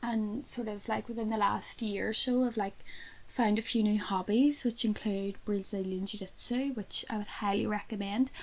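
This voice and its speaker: A woman with a Belfast accent speaks at a moderate pace and fairly high pitch, somewhat breathy, with fairly even intonation. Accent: Belfast Northern Irish. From Northern Ireland, Belfast. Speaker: podcast co-host. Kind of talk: casual chat.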